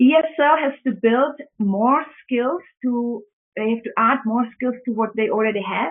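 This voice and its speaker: This woman's voice sits high in pitch, with ordinary pitch variation. She talks at a fairly slow pace. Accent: Czech. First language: Czech. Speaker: public speaking trainer. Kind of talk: webinar presentation. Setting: online webinar. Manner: halting with fillers.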